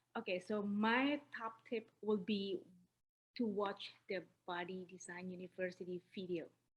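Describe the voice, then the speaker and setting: With an Indonesian accent, a woman at medium pitch speaks at a fairly slow pace in a somewhat breathy voice, her intonation fairly even and her pauses long and frequent. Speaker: newly certified personal trainer. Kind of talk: interview.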